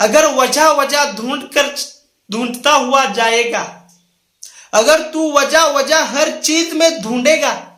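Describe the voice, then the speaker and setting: With audible room echo, a man speaks in a raised, projected voice at an extremely high pitch. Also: fairly even intonation. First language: Marathi (speaking Hindi). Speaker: motivational speaker. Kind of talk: motivational talk to camera. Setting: recording a video indoors near a window.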